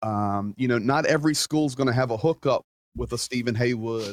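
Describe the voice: A man at a moderate pace, fairly even intonation, in a dry, close sound with no echo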